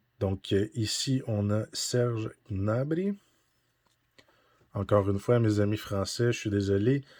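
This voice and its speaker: A man with a fairly low pitch speaks at a very slow pace, leaving long, frequent pauses. His pitch varies in an ordinary way. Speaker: card-collecting YouTuber. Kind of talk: unboxing commentary. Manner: casual, hesitant with frequent 'euh'.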